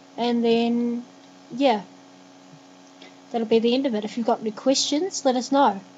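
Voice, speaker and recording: A woman's high-pitched voice in a New Zealand accent, monotone with flat intonation, over noticeable background noise. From New Zealand, Christchurch. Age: 20s. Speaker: vlogger. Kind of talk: vlog monologue.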